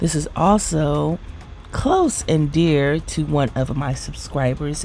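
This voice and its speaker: Quiet and at a very slow pace, a woman speaks with a very deep, low pitch as music plays in the background. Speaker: beauty vlogger. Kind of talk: product review vlog. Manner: quiet, low-voiced; animated.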